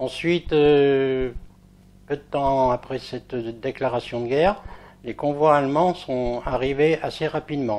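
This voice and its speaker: Over a quiet background, a man speaks very slowly in a fairly high voice with fairly even intonation. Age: 80s+. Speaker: war witness. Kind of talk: testimony. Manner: halting.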